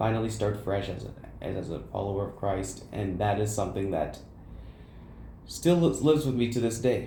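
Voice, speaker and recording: A man's fairly low, somewhat breathy voice with a dark, mellow tone, fairly quick pace, ordinary pitch variation, long frequent pauses and audible room echo. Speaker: college student podcaster. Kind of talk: casual chat. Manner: stuttering.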